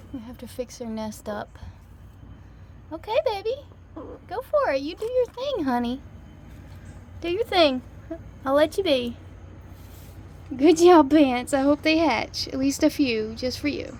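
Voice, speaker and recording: Fairly slow speech with very wide pitch swings, big swings in loudness and long, frequent pauses comes through noticeable background noise. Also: woman, high pitch for a woman. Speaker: backyard chicken keeper vlogger. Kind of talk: casual vlog narration. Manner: low volume.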